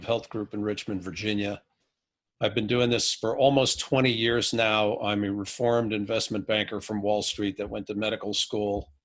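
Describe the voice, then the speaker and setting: A man talks with an unremarkable speaking voice and fairly even intonation. He keeps a moderate pace at a fairly low pitch. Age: 50s. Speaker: physician. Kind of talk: podcast interview. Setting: remote video call.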